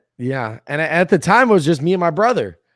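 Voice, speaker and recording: An animated man's voice with lively intonation, on a very clean recording with a silent background. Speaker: entrepreneur. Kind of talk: casual chat.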